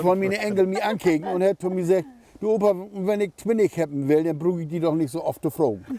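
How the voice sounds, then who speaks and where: A high-pitched man talking very fast with ordinary pitch variation, over noticeable background noise. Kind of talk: casual conversation.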